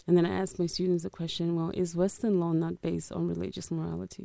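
Dark and mellow in tone, the voice shows ordinary pitch variation, with a dry, close sound with no echo on a very clean recording over a silent background. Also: woman. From Netherlands, born in Angola. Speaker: law lecturer. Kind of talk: interview. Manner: hesitant, many fillers.

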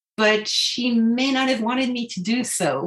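The speaker has a French accent. The pace is fairly slow. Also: woman. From France, Paris. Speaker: translator, author's daughter. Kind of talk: interview.

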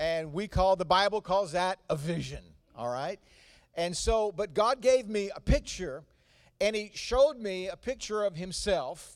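A man's high voice in a Southern US accent, fairly slow, with lively intonation. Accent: Southern US, noticeable. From North Carolina. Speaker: visiting pastor. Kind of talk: sermon. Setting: church.

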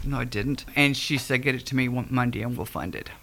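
An American woman with a very deep, low pitch speaks at a fairly quick pace. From Ohio, Akron/Cleveland area. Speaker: nonprofit downtown foundation leader. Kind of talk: radio interview.

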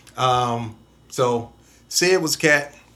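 There is audible room echo around a man speaking at medium pitch with ordinary pitch variation. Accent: American. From Toledo, Ohio. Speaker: DJ. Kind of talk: casual interview.

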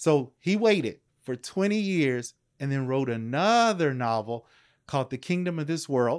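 A normal speaking voice from a man with an American accent, fairly high in pitch, with lively intonation at a moderate pace, in a very clean recording with a silent background. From US South, Louisville, Kentucky. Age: 50s. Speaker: professor. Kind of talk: casual interview. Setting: in-person home recording.

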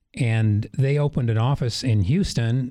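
A man's medium-pitched voice with a slight Wisconsin accent and ordinary pitch variation, on a very clean recording with a silent background. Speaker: energy company executive. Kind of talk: radio interview.

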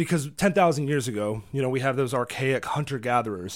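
A man with an American accent speaks at a medium pitch with ordinary pitch variation, in a very clean recording with a silent background. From Virginia. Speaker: radio co-host and tour guide. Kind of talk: casual chat. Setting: studio. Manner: halting, many repetitions.

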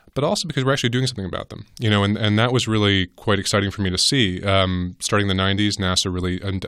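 A man with an American accent speaks at a very fast pace with hardly any pauses, in a fairly low pitch with ordinary pitch variation. The recording is very clean, with a silent background. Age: 40s. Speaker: journalist and author. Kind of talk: interview. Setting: recording studio.

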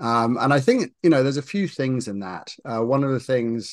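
A man speaks at a moderate pace with a British accent and ordinary pitch variation. The background is quiet. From UK. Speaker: marketing executive and investor. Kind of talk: interview conversation. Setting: video call.

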